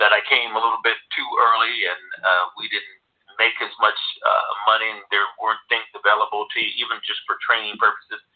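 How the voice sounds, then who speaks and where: A man with an American accent talks at a fairly quick pace with big swings in loudness. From California. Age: 60s. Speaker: former pro football player. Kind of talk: interview. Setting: radio show. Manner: halting, many repetitions.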